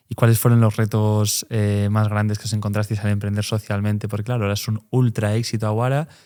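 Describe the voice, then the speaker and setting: A man with a Galician accent speaks at a very fast pace with hardly any pauses, his pitch fairly low and his tone dark and mellow. His intonation is monotone and flat, in a very clean recording with a silent background. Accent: Galician accent noticeable. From Galicia, Pontevedra. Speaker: podcast host. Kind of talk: podcast interview.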